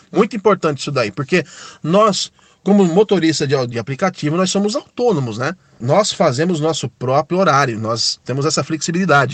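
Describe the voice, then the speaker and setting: A man's normal speaking voice, fairly high in pitch, with lively intonation, a moderate pace and a dry, close sound with no echo. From São Paulo, Brazil. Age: 30s. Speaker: ride-hailing driver. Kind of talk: recorded testimony.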